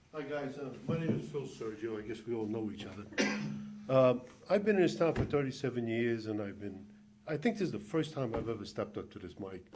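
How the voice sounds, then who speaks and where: A man's medium-pitched voice, fairly quick and lively in intonation, with big swings in loudness, audible room echo and music in the background. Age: 60s. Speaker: resident speaking at public comment. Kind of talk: public comment. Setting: council meeting at a microphone.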